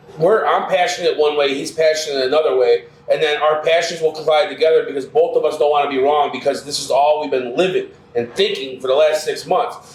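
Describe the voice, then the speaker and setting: The tone here is animated. A man with a fairly high pitch speaks at a fairly quick pace. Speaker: restaurant co-owner. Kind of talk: casual interview conversation. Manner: loud.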